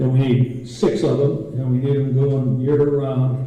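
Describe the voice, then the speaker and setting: Audible room echo surrounds a man speaking at a medium pitch and a fairly slow pace. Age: 80s+. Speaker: war veteran, former aviator. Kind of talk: conference presentation and Q&A.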